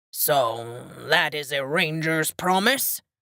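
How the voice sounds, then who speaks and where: Using a put-on character voice, a woman hisses and growls at a very deep, low pitch and a very slow pace. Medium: read story. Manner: suspicious, blustering.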